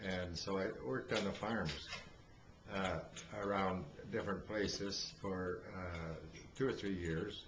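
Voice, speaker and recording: A man in an Ontario accent at a fairly slow pace, with audible room echo. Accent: Canadian (Ontario). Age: 80s+. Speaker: elderly father telling life story. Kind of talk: oral history interview. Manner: halting, many fillers.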